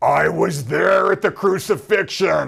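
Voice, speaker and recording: In a put-on character voice, a man shouts at a high pitch and fairly slow pace, sounding guttural and raspy. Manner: shouted, creepy, like a low budget horror movie.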